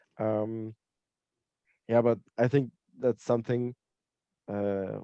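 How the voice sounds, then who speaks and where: In a dry, close sound with no echo, a man with a non-native accent speaks at a medium pitch in a dark, mellow tone with fairly even intonation. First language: not English. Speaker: tabletop RPG player. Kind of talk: post-game feedback discussion. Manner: halting, many hesitations.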